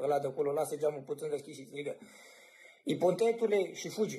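With a dark, mellow tone, a man talks at a fairly quick pace and with ordinary pitch variation. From Romania. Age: 20s. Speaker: cameraman. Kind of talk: casual chat. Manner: animated. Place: home room. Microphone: phone near.

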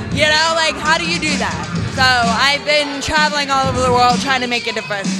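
Clear music sounds in the background as a woman speaks. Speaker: interviewee. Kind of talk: interview answer. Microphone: handheld.

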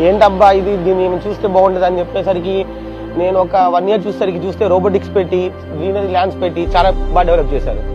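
Clear music plays in the background, and the sound is dry with no echo. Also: man. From Hyderabad, India. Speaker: local resident interviewee. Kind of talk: testimonial interview. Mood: positive, praising. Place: street.

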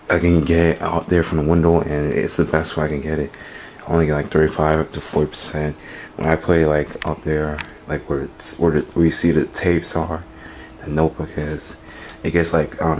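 Over light background noise, a man talks at a moderate pace in a monotone, flat intonation. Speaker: gamer showing his setup. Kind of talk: casual vlog chat. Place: home room. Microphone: phone near.

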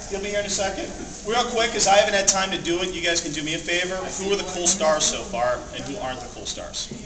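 Against noticeable background noise, a man with a high pitch speaks very fast with ordinary pitch variation. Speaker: convention panel presenter. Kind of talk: live panel talk to audience. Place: hall. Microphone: camera far.

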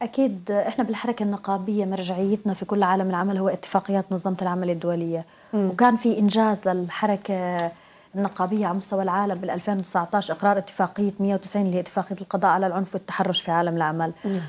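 Speaking at a fairly quick pace with hardly any pauses, a woman keeps her intonation fairly even. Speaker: trade union official. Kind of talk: formal interview. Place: studio. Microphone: lapel.

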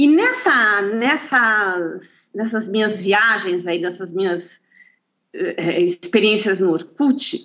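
Talking at a very slow pace, a woman lets her pitch swing very widely. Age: 50s. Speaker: lawyer and natural bodybuilder. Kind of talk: interview. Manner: halting, with repetitions.

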